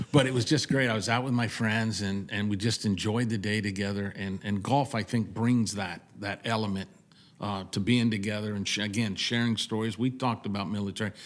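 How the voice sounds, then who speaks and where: Speaking at a fairly quick pace, a man uses an ordinary speaking voice. His intonation stays fairly even. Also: fairly low pitch for a man. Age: 60s. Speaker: veteran, veterans club president. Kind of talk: casual interview. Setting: on location at golf event.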